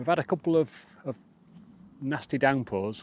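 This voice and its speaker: In a Yorkshire accent, a man speaks very slowly at medium pitch with lively intonation, the sound dry and close with no echo. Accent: northern English (Yorkshire). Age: 50s. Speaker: outdoor vlogger. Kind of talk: casual vlog narration. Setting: outdoors, wild camp on moorland. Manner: halting, lots of fillers.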